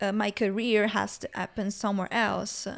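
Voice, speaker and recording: A woman with a strong Italian accent and a fairly high pitch comes through on a very clean recording with a silent background. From Northern Italy, Milan. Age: 20s. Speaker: student and photographer. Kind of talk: casual interview chat.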